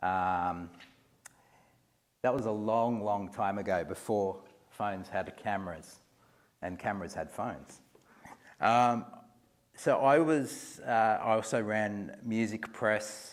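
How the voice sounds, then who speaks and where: In a room with audible echo, a man with an Australian accent talks very slowly in a fairly low voice, with long, frequent pauses. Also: ordinary pitch variation. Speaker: museum executive. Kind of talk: lecture. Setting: lecture hall with audience. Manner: halting, many fillers and repeats.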